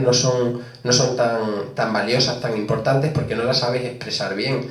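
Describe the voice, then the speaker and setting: At a moderate pace, a man talks over noticeable background noise, with audible room echo. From Spain, Las Hurdes (Extremadura). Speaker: author. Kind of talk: book presentation discussion.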